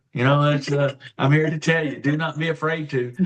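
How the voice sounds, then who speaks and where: Monotone, flat delivery at a moderate pace. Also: man. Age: 60s. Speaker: guest sharing health story. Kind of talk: testimony. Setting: live online show.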